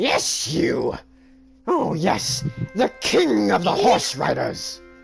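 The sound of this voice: A man speaks at a very slow pace in a put-on character voice, fairly high in pitch. Clear music plays in the background.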